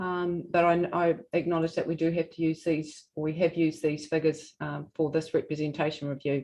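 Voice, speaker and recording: A woman speaks in a New Zealand accent at a fairly low pitch and a fairly quick pace. Her tone is dark and mellow, her intonation monotone and flat. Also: hardly any pauses. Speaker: regional council representative. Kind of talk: formal presentation at a hearing. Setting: hearing room, streamed live. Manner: soft-spoken.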